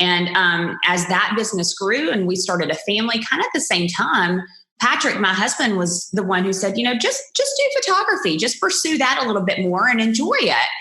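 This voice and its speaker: In a Southern US accent, a woman talks at a fairly quick pace with hardly any pauses, lively intonation, and very even loudness, with audible room echo and noticeable background noise. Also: medium pitch for a woman. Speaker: wedding photographer. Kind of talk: podcast interview. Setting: podcast recording.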